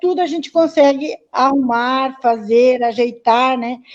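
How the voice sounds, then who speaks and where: A woman talks at a high pitch, keeping her intonation fairly even. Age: 60s. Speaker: community activist in local politics. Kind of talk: live-stream panel discussion. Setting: online live stream.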